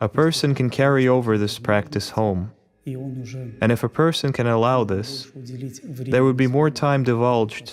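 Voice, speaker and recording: Speaking at a fairly slow pace with hardly any pauses, a man uses a normal speaking voice at medium pitch with ordinary pitch variation. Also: very even loudness. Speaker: Orthodox priest. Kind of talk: religious monologue, teaching talk.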